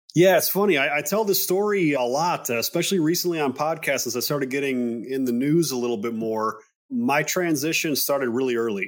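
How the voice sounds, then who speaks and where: An unremarkable speaking voice from a man with an American accent, fairly high in pitch, at a fairly quick pace with lively intonation and hardly any pauses. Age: 30s. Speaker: men's health clinic CEO, former police officer. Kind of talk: interview.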